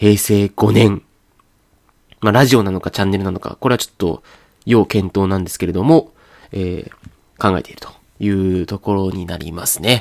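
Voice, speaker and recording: Recorded with a dry, close sound and no echo, a man with a fairly low pitch speaks at a moderate pace, leaving long, frequent pauses. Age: 30s. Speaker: podcast host. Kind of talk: casual chat. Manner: halting.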